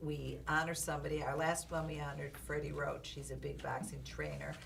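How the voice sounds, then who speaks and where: A woman's fairly quick speech is accompanied by noticeable background noise and audible room echo. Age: 70s. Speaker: boxing manager and author. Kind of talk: interview. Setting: recording studio.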